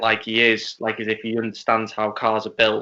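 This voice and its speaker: A man with a Liverpool accent, medium pitch and moderate pace. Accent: Scouse. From Wales, partly Liverpool. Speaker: racing driver. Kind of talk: casual chat. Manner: halting, repeats words.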